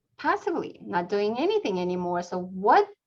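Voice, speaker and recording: A woman is speaking. She has a non-native accent. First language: not English. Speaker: real estate team leader and class instructor. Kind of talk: webinar class presentation.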